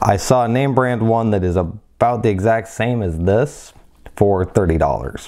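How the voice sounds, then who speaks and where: A man talking, quiet background. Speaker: product reviewer. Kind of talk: product review commentary.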